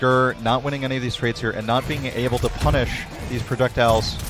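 Over music in the background, a man speaks at a fairly quick pace in an energetic tone, the sound dry with no echo. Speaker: esports commentator. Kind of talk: live esports match commentary. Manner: analytical, energetic. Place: hall. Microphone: headset.

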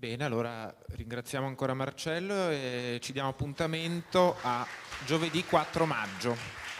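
Crowd noise fills the background as a man speaks fairly slowly with ordinary pitch variation. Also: medium pitch for a man. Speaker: event moderator. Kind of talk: formal introduction. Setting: stage with audience. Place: hall. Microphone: handheld.

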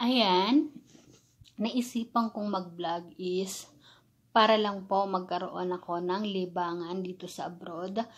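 A woman's medium-pitched voice at a fairly slow pace, with fairly even intonation. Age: 30s. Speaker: vlogger, overseas worker; vlogger. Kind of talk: casual vlog Q&A. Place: home room. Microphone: phone near.

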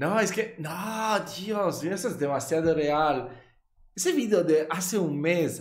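Speaking with a strong Italian accent, a man keeps a fairly slow pace. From Italy. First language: Italian (speaking Spanish). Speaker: YouTube reactor. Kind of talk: reaction video commentary. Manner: animated. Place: home room.

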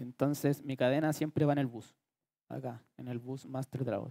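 A man's dark, mellow voice at medium pitch, fairly slow and monotone with flat intonation, with long, frequent pauses against a quiet background. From Chile. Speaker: music producer. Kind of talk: workshop lecture. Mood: relaxed, joking. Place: hall. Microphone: headset.

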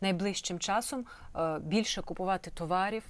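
A woman in an ordinary speaking voice talks at a moderate pace with fairly even intonation over a quiet background. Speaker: TV host. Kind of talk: TV interview. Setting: studio.

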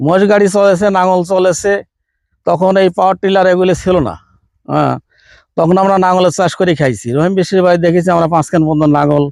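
Over a quiet background, a man talks at a high pitch with fairly even intonation and very even loudness. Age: 60s. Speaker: farmer. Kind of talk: interview.

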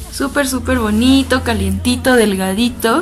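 Faint music plays in the background as a woman speaks fairly slowly in a cheerful, upbeat tone. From Tijuana, Baja California, Mexico. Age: 20s. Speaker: fashion and beauty YouTuber. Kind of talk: casual talk to camera. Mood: cheerful, enthusiastic. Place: home room.

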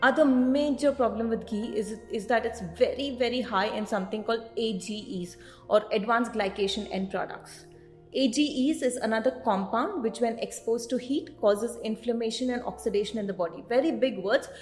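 A woman at a moderate pace with ordinary pitch variation, faint music in the background. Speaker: nutrition coach. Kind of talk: informative vlog talk. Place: office. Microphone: studio mic.

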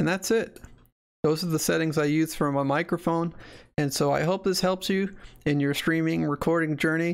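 A moderate pace on a very clean recording with a silent background. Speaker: gaming streamer and tutorial youtuber. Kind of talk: tutorial.

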